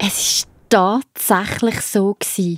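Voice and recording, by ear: A woman's slightly mellow voice comes through with a dry, close sound and no echo.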